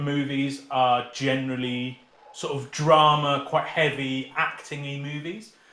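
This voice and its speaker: With noticeable background noise behind him, a man talks at a fairly high pitch. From England, Peterborough area. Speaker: teacher. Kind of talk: casual chat.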